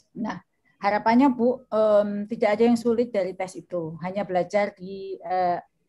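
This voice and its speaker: A woman's medium-pitched, dark, mellow voice at a moderate pace with fairly even intonation. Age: 50s. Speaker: education professor and ministry official. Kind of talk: webinar Q&A answer. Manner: halting.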